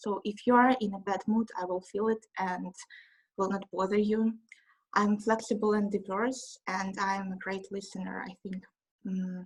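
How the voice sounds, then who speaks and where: In a Russian accent, a woman speaks somewhat breathily at medium pitch and a moderate pace, with monotone, flat intonation. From Russia, Moscow. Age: 20s. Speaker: trainee. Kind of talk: self-introduction presentation. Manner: halting.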